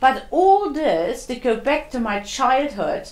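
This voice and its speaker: Spoken with a German accent at a fairly slow pace, the voice swings very widely in pitch amid noticeable background noise and audible room echo. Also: woman. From East Germany. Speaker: interviewee. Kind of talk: interview.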